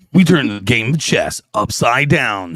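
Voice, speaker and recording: A man speaks at a moderate pace in a put-on character voice with a medium pitch. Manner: announcer delivery.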